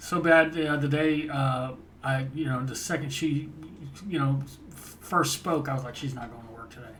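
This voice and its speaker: A man speaks at a fairly high pitch and a moderate pace, his intonation fairly even but his loudness swinging widely. Long, frequent pauses break up his speech over noticeable background noise. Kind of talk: casual podcast conversation.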